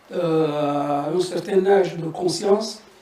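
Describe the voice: A man with a dark, mellow tone speaks in fairly even intonation, with audible room echo around him.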